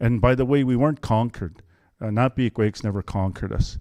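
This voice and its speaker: Against a quiet background, a man talks at a very fast pace with a fairly low pitch, a dark, mellow tone and fairly even intonation. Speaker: political candidate. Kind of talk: campaign speech.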